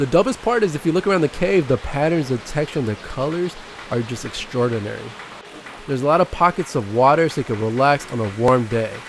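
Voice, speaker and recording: A man speaks at a very fast pace with lively intonation. The sound is dry with no echo, and background noise is noticeable. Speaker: hiking vlogger. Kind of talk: casual vlog chat.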